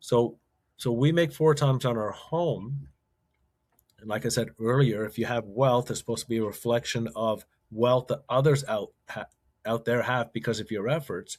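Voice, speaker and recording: Here a man speaks at a moderate pace. His medium pitch shows ordinary variation. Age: 60s. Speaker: retired investment professional and author. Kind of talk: interview. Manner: halting, with frequent repetitions.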